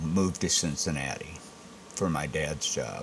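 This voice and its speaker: A man with an American accent at a fairly slow pace, over noticeable background noise. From Michigan, Saginaw. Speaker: restaurant owner. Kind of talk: casual interview.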